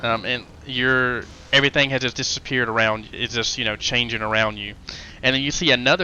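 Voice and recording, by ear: Someone is reading aloud in a natural voice, with fairly even intonation.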